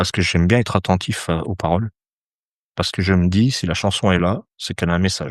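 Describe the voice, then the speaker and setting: Against a quiet background, a man speaks with very deep, low pitch and fairly even intonation. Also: dry, close sound with no echo. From France, Saint-Étienne. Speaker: astrologer. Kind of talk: podcast interview. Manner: hesitant, many fillers.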